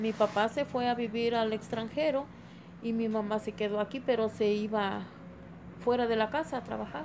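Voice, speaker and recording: A woman talks at a moderate pace and a fairly high pitch. She has an unremarkable speaking voice. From Tulcingo de Valle, Puebla, Mexico. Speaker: homemaker interviewee. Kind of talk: interview answers.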